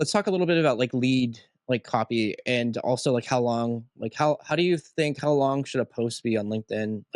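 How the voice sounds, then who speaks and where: Heard dry and close with no echo, a man with an unremarkable speaking voice at a medium pitch talks at a fairly quick pace with ordinary pitch variation and hardly any pauses. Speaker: podcast host. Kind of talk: podcast interview questions. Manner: casual.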